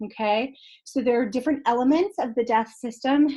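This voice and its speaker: A woman's ordinary speaking voice at a fairly slow pace, with ordinary pitch variation. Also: quiet background. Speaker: college instructor. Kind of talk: lecture. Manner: many filler ums.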